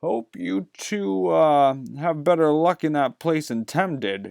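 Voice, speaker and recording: A man performs a put-on character voice at a fairly slow pace with very wide pitch swings, on a very clean recording with a silent background and a dry, close sound with no echo. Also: fairly high pitch for a man. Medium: read story. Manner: gruff, curt.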